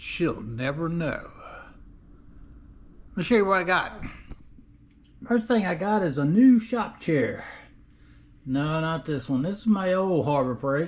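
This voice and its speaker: The man's high voice moves in very wide pitch swings at a fairly slow pace, broken by long, frequent pauses. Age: 60s. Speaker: DIY car restorer, video creator. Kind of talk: casual vlog. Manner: casual, filler-heavy.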